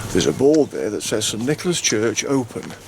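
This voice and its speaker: Over noticeable background noise, a man with a medium-pitched voice and lively intonation speaks at a fairly quick pace. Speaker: walking vlogger. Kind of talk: travel vlog narration. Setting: inside a church. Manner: hushed.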